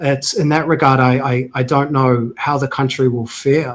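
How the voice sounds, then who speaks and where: This man talks fairly slowly with a New Zealand accent, his pitch fairly high and his intonation monotone and flat. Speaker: healthcare tech CEO, former military officer. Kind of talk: interview conversation.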